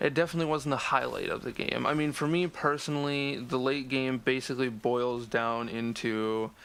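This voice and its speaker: A man speaks at a fairly slow pace. His medium pitch holds to a fairly even intonation. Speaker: gaming commentator. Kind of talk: game discussion commentary. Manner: monotone.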